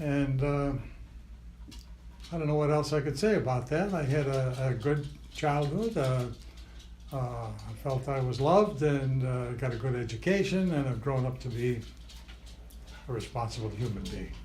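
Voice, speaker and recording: A somewhat breathy voice at a moderate pace, with ordinary pitch variation, long, frequent pauses and audible room echo. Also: man, medium pitch for a man. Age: 80s+. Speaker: interviewee, grandfather. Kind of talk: family oral history interview. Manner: halting, many fillers.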